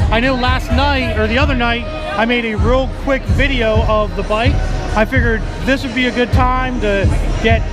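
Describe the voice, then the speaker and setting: Speech at a moderate speed, with music in the background. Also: man. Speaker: motorcycle vlogger at his booth. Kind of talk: casual vlog chat. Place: hall. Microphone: phone near.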